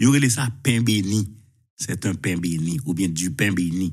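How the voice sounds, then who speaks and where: A man's fairly low voice with lively intonation at a moderate pace, against a quiet background. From Haiti. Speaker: journalist. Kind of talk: live talk show. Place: home room. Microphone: lapel.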